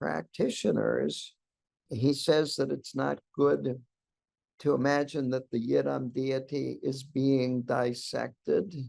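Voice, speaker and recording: The man speaks at a very slow pace. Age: 80s+. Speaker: Buddhist teacher. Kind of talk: dharma talk reading from a book.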